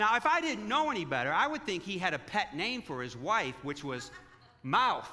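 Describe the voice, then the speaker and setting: A man speaks at a moderate pace in a raised, projected voice with a high pitch, over noticeable background noise. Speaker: pastor. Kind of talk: sermon. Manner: halting.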